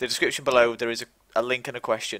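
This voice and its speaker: A man's bright, sharp voice in an East Midlands accent. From England, East Midlands (Mansfield, Nottinghamshire). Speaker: live stream host. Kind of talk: casual chat. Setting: live online stream.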